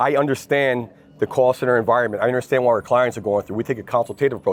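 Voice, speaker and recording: A man with a slight New Jersey accent talks at a medium pitch. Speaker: lead generation executive. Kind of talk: interview. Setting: industry event. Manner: fast; energetic.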